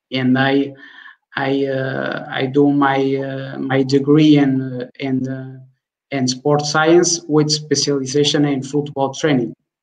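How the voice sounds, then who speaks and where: Against a quiet background, a man talks at a very slow pace. His intonation is monotone and flat. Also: fairly high pitch for a man. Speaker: football analyst. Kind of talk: panel interview. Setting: video call.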